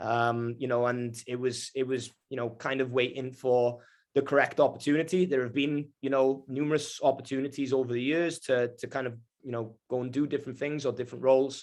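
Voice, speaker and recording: This man speaks at a medium pitch and a fairly quick pace. His intonation is monotone and flat. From Wales. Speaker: sports club executive director. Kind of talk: video call introduction interview. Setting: video call. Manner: halting, many fillers and repetitions.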